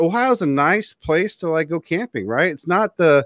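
A man speaks at a moderate pace with very wide pitch swings. The background is quiet and the sound is dry, with no echo. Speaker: show host. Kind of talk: interview question, casual chat. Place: home room.

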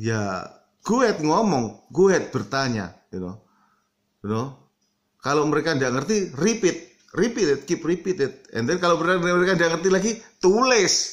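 Against a quiet background, a man speaks at a moderate pace in a high pitch with very wide pitch swings. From Indonesia. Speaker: vlogger; vlogger giving advice. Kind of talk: casual vlog monologue. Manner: mixes English filler words into Indonesian. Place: home room. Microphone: phone near.

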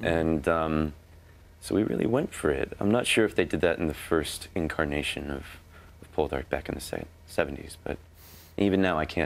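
Very deep and low in pitch, a man with an American accent and vocal fry talks at a moderate pace, leaving long, frequent pauses. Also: ordinary pitch variation. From United States. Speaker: actor. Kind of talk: interview answer. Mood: friendly, relaxed, a bit amused. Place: studio. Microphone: lapel.

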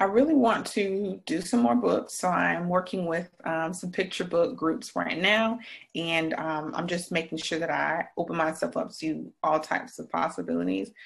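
A woman speaks in an American accent at a moderate pace, her fairly low voice showing vocal fry and lively intonation. She hardly pauses, and the background is quiet. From South Carolina, Greenville. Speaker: author and speaker. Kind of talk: interview. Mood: warm, thoughtful. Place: home room. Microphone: webcam.

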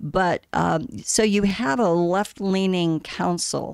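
A woman speaks with an American accent. The sound is dry with no echo over a quiet background. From Arizona, Scottsdale; Arizona. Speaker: city council candidate; council candidate. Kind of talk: interview. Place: studio. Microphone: studio mic.

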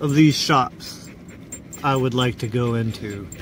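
A man talks at a very slow pace with an American accent. The sound is dry with no echo, and faint music plays in the background. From Oregon, US. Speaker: travel vlogger. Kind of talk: casual vlog narration while driving. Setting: in a car. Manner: relaxed, with frequent laughs and fillers. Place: car. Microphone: phone near.

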